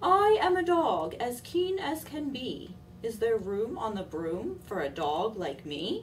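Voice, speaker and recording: Using a put-on character voice, a woman talks at a fairly slow pace with fairly high pitch and very wide pitch swings, over clear background noise. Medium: read story.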